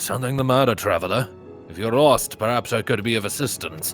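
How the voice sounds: Over clear background music, a man does a gravelly put-on character voice at medium pitch and a fairly quick pace.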